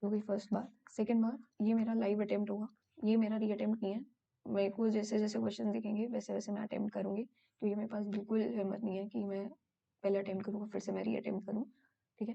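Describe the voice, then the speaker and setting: A woman's medium-pitched voice at a moderate pace, in monotone, flat intonation. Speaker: exam prep tutor. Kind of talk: tutorial. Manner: hesitant with fillers.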